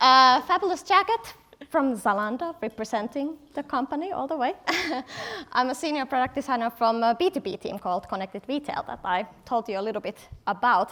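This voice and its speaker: Over noticeable background noise, a woman with a Finnish accent projects a raised voice at a fairly quick pace, her high pitch making very wide swings. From Finland, Helsinki. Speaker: product designer, conference speaker. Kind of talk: conference talk. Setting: stage with audience.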